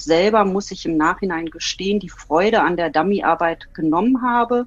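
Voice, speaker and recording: A woman speaks in a plain, everyday voice at a fairly slow pace. Her pitch sits in the middle range, with ordinary variation. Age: 40s. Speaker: dog owner and teacher. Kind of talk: casual interview.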